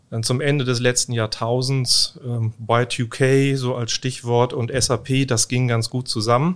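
A man's medium-pitched voice, monotone and flat, at a very slow pace. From northern Germany, former inner-German border area. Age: 50s. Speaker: IT manager. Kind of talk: podcast interview.

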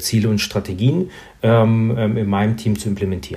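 A man at a medium pitch talks at a moderate pace in a dark, mellow tone that is somewhat breathy. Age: 30s. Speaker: insurance sales manager. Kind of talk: interview.

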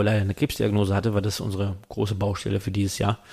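This man's voice sits at a fairly low pitch. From western Germany (Rheingau and Mosel). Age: 30s. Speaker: wine merchant and wine magazine publisher. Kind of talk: casual interview conversation. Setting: studio. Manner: hesitant, many fillers.

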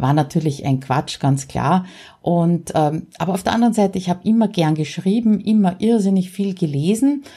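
A woman's medium-pitched, somewhat breathy voice, dark and mellow in tone, with lively intonation and a moderate pace. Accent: Austrian. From Austria. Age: 50s. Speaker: podcaster. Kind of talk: solo podcast monologue.

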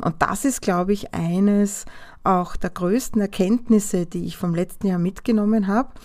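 Her tone dark and mellow, a woman speaks at medium pitch and a moderate pace with ordinary pitch variation. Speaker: podcast host, design business owner. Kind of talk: solo podcast monologue.

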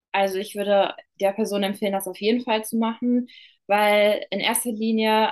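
A woman with a plain, everyday voice speaks at a fairly slow pace and a fairly high pitch. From western Germany, Ruhr area near Dortmund. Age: 20s. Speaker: beauty business owner. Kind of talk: client testimonial interview.

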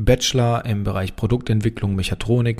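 Recorded very cleanly against a silent background, a man speaks at a moderate pace in a dark, mellow tone, his fairly low voice keeping fairly even intonation. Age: 30s. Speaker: engineer and company founder. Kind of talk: casual Q&A monologue.

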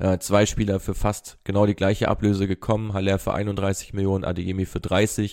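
A man's fairly low voice at a moderate pace, monotone and flat, on a very clean recording with a silent background. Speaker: football data analyst. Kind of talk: analytical segment.

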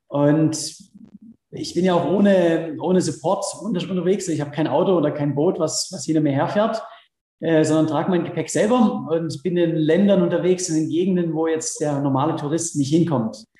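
The speech moves at a moderate pace with ordinary pitch variation. Audible room echo is present. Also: man, high pitch for a man. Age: 30s. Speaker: extreme athlete and adventurer. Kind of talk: interview. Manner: hesitant, many fillers.

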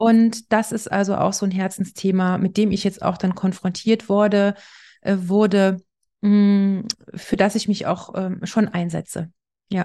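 A woman speaks in a dark, mellow, somewhat breathy tone with monotone, flat intonation. The background is quiet. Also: medium pitch for a woman, fairly slow pace. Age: 40s. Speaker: architect. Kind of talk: interview.

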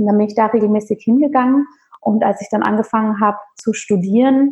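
A woman's somewhat breathy voice, pitched fairly high. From rural Bavaria, Germany. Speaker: holistic physician and yoga teacher. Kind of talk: interview conversation.

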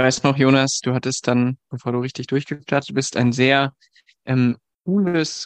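Here is an unremarkable speaking voice from a man, medium in pitch with fairly even intonation. He talks at a fairly slow pace, and the sound is dry and close with no echo. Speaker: dating coach and co-host. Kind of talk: casual interview chat.

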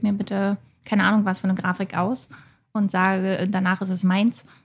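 A woman's somewhat breathy, medium-pitched voice, fairly even in intonation and moderate in pace, on a very clean recording with a silent background. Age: 30s. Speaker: self-employed graphic designer and online shop owner. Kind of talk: casual discussion.

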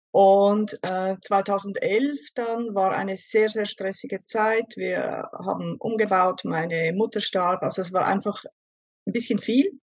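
This woman speaks at a very slow pace, her medium pitch holding fairly even intonation. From Switzerland. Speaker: vocational school teacher, diabetes client. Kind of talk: interview testimony.

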